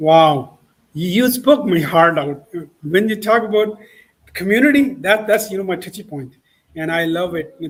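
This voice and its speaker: At a moderate pace, a man with a high pitch speaks with a non-native accent. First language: not English. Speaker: talk show host. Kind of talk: interview. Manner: halting, many repetitions.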